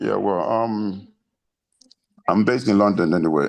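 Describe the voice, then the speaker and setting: A man's fairly low-pitched voice. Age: 60s. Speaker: audience member asking a question. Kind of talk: Q&A question.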